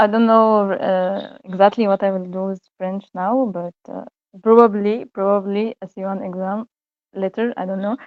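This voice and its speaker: A woman speaks at medium pitch in an Egyptian accent, very slowly and in a flat monotone. Her loudness swings widely. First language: Egyptian Arabic (speaking French). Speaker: university student, language learner. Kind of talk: interview. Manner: halting, many hesitations and repetitions; switches between French and English.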